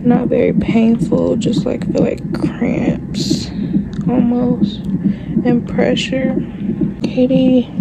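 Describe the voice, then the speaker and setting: A woman at a very slow pace with long, frequent pauses and ordinary pitch variation, against loud background noise. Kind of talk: casual vlog chat. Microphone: phone near.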